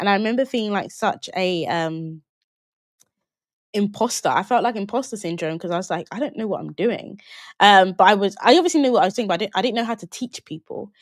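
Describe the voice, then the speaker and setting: With a London accent, a woman speaks very fast at a medium pitch with lively intonation. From London, England (Jamaican British family). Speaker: online business coach. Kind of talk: live webinar Q&A. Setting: livestream. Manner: casual, conversational.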